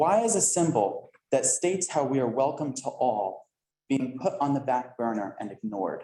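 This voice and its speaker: In an American accent, a man with a fairly high pitch and a dark, mellow tone speaks at a moderate pace with very wide pitch swings. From northern New Jersey, US. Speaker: resident speaking at public comment. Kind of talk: public comment at council meeting. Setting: council meeting room with audience.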